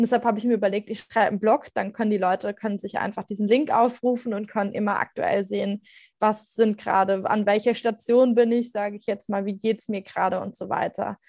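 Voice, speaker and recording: Speaking at a fairly quick pace with hardly any pauses, a woman uses a plain, everyday voice at a fairly high pitch with fairly even intonation, recorded very cleanly with a silent background and a dry, close sound with no echo. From Germany, Mainz area. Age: 20s. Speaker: cancer survivor and blogger. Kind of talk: interview.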